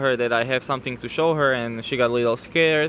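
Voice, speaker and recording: Over noticeable background noise, a man with a Slovak accent speaks at a fairly quick pace and fairly high pitch, his intonation fairly even. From Slovakia. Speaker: newlywed guest sharing his faith story. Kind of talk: testimony. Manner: halting.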